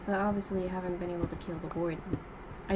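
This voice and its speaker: A woman of medium pitch speaks with fairly even intonation. Audible room echo and noticeable background noise surround her voice. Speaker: gaming youtuber. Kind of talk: gameplay commentary. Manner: halting with pauses mid-sentence. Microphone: poor audio equipment, too quiet.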